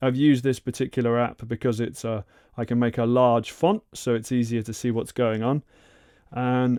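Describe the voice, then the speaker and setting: A man speaks at a moderate pace and medium pitch, recorded very cleanly with a silent background and a dry, close sound with no echo. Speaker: YouTuber learning Japanese. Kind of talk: tutorial. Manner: halting.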